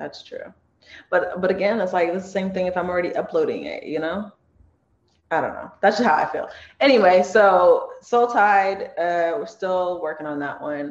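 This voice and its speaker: A woman with a Californian accent at a moderate pace, with big swings in loudness. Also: medium pitch for a woman, ordinary pitch variation. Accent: Californian American English. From Los Angeles, Torrance. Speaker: comedy skit creator and singer. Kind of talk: casual interview.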